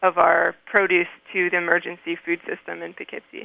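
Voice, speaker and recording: Monotone, flat intonation marks this woman's medium-pitched speech, delivered at a moderate pace in an American accent. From US mid-Atlantic (Maryland). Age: 20s. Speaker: farmer and farm educator. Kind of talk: interview. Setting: phone call. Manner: halting.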